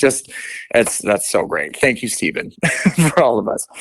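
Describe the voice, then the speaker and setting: A man with an American accent is recorded with a dry, close sound and no echo. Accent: Midwestern with some East Coast. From Portland, Oregon. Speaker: actor. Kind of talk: interview.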